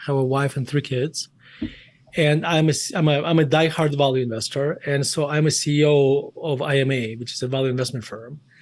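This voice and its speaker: A man talks at a moderate speed, his fairly high voice showing ordinary pitch variation. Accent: Russian. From Russia, Murmansk. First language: Russian. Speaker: investment firm CEO and author. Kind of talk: interview.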